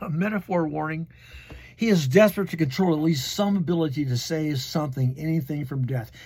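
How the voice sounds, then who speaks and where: His voice carries a slight breathiness, with pitch that varies in the usual way. This man's delivery moves along fairly quickly. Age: 70s. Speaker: history channel host. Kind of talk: casual talk with partly read notes. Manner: casual, rambling asides.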